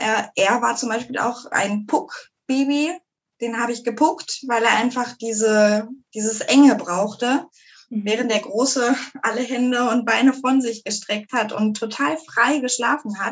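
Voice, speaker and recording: A woman speaks at a high pitch and a fairly slow pace. Her intonation is fairly even. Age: 30s. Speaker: mother. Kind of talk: casual interview.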